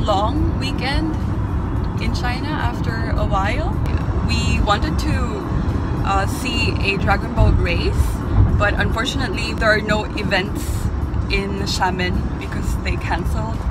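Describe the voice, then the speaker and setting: A woman talks at a moderate pace, with long, frequent pauses. The sound is dry with no echo, and music plays in the background. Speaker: travel vlogger. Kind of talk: casual vlog chat. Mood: cheerful, relaxed. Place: car. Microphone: phone near.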